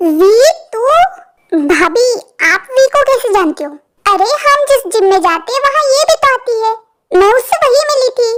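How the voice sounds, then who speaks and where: Extremely high-pitched put-on character voice from a woman, with very wide pitch swings, a moderate pace and long, frequent pauses. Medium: read story.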